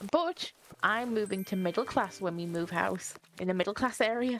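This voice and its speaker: A woman's words come at a moderate pace as music plays in the background. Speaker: streamer's partner and co-player. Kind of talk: casual chat. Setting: live game stream.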